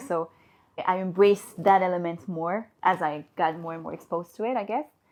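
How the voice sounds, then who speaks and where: At a moderate pace, a woman with a French accent speaks in a fairly low pitch with fairly even intonation. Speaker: HR and recruitment professional. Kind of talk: podcast interview.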